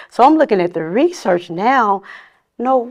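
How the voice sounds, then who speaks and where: A woman with an American accent and an ordinary speaking voice, at a moderate pace with lively intonation. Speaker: licensed counselor and trauma researcher. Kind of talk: casual interview chat.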